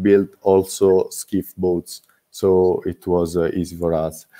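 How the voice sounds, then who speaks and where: With a non-native accent, a man speaks at a fairly low pitch. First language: not English. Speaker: student boat-building team member. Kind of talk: presentation Q&A. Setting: online video call. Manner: halting, many fillers.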